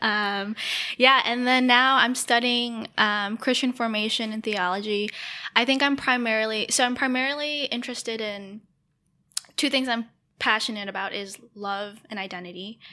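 Someone with an American accent speaks in an ordinary speaking voice at a moderate pace with fairly even intonation. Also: woman, fairly high pitch for a woman. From Detroit area, Michigan. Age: 20s. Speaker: podcast co-host, grad student.

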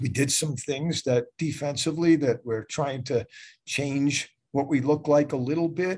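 A man speaks at a fairly slow pace in a fairly high voice, somewhat breathy. The background stays quiet. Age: 70s. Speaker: college lacrosse head coach. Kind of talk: casual interview. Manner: halting, repetitive.

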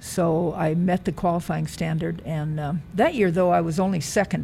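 A woman with an American accent speaks in a fairly low pitch with fairly even intonation. Music plays in the background. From US Midwest, rural Nebraska. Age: 70s. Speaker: retired track athlete and coach. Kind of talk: interview. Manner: halting.

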